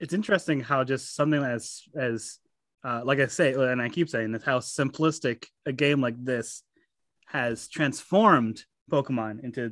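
The voice moves at a moderate pace with ordinary pitch variation. The recording is very clean, with a silent background. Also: man, medium pitch for a man. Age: 20s. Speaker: gaming podcast guest. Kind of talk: casual chat. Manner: halting.

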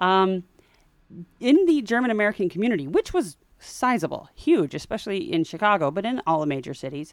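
On a very clean recording with a silent background, a woman speaks fairly quickly at a medium pitch. Her tone is animated and enthusiastic, and her pitch swings very widely. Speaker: podcast host. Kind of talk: casual chat. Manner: animated, enthusiastic.

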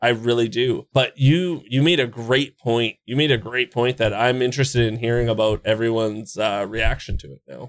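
A man with a Canadian accent talks at a fairly quick pace in a plain, everyday voice, medium in pitch with ordinary variation. The recording is very clean, the background silent. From Canada. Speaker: video game streamer and guide creator. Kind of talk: casual chat.

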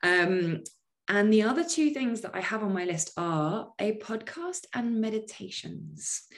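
A woman with a British accent speaks in an animated tone at a fairly slow pace, her fairly high voice making very wide pitch swings. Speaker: life coach. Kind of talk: casual interview chat. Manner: animated, laughs often.

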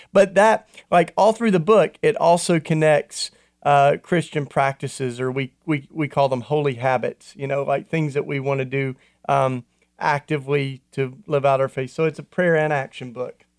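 With a dry, close sound and no echo, a man in a normal speaking voice talks at a moderate pace and a fairly high pitch, with ordinary pitch variation. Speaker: radio co-host. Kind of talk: casual chat.

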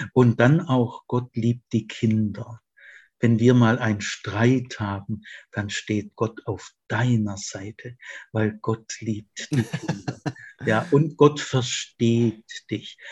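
In a dry, close recording with no echo, a man speaks very slowly at a medium pitch, sounding somewhat breathy. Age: 70s. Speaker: retired theology professor. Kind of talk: interview conversation. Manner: animated, laughs often.

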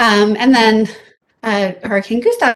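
Speaking with an American accent, a woman has an unremarkable speaking voice. Her pitch is fairly high and her pace is fairly slow. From US South, South Louisiana. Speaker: professor and department chair of emergency health services. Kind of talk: interview.

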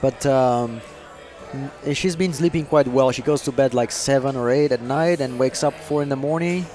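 Fairly even intonation in a Portuguese accent, over music in the background. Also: man, fairly high pitch for a man, moderate pace. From Brazil. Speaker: racing driver. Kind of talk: casual chat over dinner.

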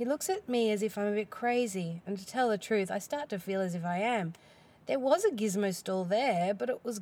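Natural-voiced reading aloud

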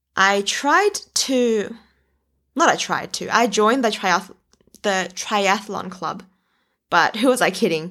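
With an Australian accent, a woman of medium pitch and ordinary pitch variation speaks at a very slow pace with long, frequent pauses, in a very clean recording with a silent background. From southwestern Sydney, Australia. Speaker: podcast host, former primary school teacher. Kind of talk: casual personal storytelling monologue. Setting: at home.

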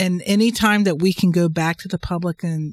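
A woman talks at a fairly quick pace with ordinary pitch variation and fairly low pitch, in a plain, everyday voice. The sound is dry and close, with no echo. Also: very clean recording, silent background. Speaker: podcast co-host and transportation planner. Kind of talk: casual professional discussion.

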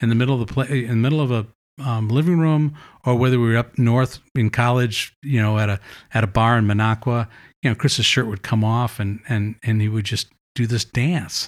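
A plain, everyday voice speaks with an American accent. Its pace is fairly quick and its intonation fairly even. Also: man, medium pitch for a man, very clean recording, silent background. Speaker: author. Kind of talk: casual chat. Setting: kitchen.

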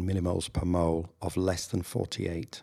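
A man speaks at a fairly quick pace in a northern English accent. His very deep, low pitch has a dark, mellow tone. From northern England. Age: 60s. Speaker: general practitioner. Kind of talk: interview, conversational.

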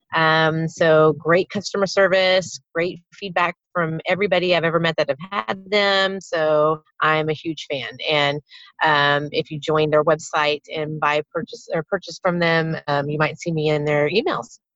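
A woman with an ordinary speaking voice, fairly low in pitch, fairly even in intonation and fairly slow in pace, in a dry, close sound with no echo. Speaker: obstacle racer. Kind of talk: casual chat.

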